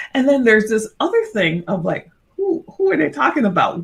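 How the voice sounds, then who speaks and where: In a very clean recording with a silent background, a woman speaks with a Caribbean accent in a somewhat breathy voice. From Barbados. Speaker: corporate consultant. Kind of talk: interview.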